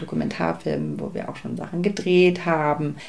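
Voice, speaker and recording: A woman speaks with audible room echo around her. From Germany, East Berlin. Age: 30s. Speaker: film producer. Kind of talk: interview.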